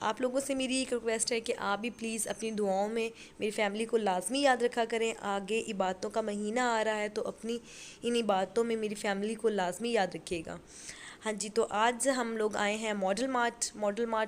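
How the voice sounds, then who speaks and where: A woman speaks at a moderate pace with a fairly high pitch. Her intonation stays flat and monotone. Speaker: family vlogger. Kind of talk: vlog voice-over narration. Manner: strained, struggling to speak.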